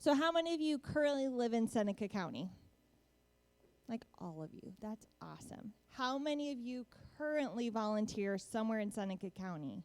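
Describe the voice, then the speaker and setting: Her loudness swinging widely, a woman with a fairly high pitch speaks with lively intonation. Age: young. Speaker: volunteer program coordinator. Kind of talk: presentation. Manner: fast.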